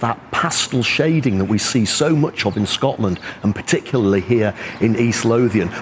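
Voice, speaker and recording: Very even loudness at a moderate pace, over noticeable background noise. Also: man. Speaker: travel vlogger. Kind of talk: travel vlog narration. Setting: outdoors. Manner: animated.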